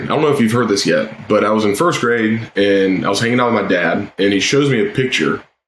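A man with an American accent speaks in a normal speaking voice, fairly low in pitch, at a fairly quick pace with ordinary pitch variation. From US South (South Georgia). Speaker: former Navy SEAL. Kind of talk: interview conversation.

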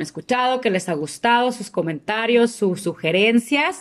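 In a very clean recording with a silent background, a woman speaks in an ordinary speaking voice at a fairly slow pace with ordinary pitch variation. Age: 30s. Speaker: podcast co-host, English teacher. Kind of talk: casual chat.

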